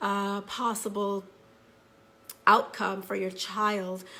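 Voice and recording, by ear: Speaking slowly at a medium pitch, a woman with a bright, sharp tone keeps her pitch movement small.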